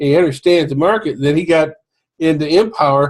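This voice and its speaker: A man at a fairly quick pace, somewhat breathy. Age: 60s. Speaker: home business marketer. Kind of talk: casual sales pitch to camera. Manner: informal, halting with fillers.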